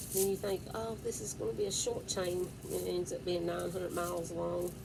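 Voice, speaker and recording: A woman talks at a moderate speed while noticeable background noise and audible room echo fill the recording. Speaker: vlogger. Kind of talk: casual chat. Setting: home at night. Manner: loud; whispering.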